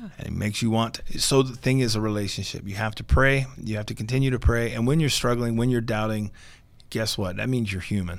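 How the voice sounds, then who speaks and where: This man has an ordinary speaking voice with a medium pitch. He talks fairly quickly, with ordinary pitch variation. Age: 40s. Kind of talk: interview.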